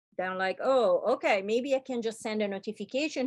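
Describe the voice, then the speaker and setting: Someone with a non-native accent speaks at a moderate pace with lively intonation. The sound is dry and close with no echo, over a quiet background. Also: woman. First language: not English. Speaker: UX workshop instructor. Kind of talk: online workshop lecture. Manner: casual, filler-heavy.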